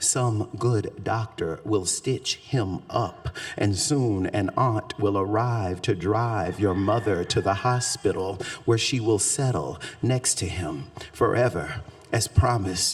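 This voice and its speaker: Over music in the background, a man with a Southern accent and fairly low pitch talks at a very slow pace. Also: ordinary pitch variation. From US South, Shreveport, Louisiana. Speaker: poet. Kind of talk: poetry reading; talk to audience. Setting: stage with audience.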